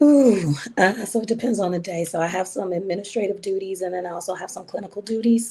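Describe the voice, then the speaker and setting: Noticeable background noise sits behind the speech. A woman talks at a medium pitch, keeping her intonation fairly even. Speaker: psychiatrist. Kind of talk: interview.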